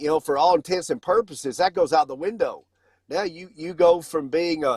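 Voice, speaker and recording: With a Southern US accent, the speaker talks at a moderate pace with ordinary pitch variation, in a dry, close sound with no echo and a very clean recording against a silent background. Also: man. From US South. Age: 50s. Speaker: financial company founder. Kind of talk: casual chat.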